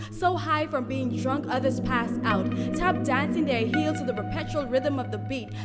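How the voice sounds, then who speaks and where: A woman speaks at a moderate pace as music runs in the background. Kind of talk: spoken word poetry performance.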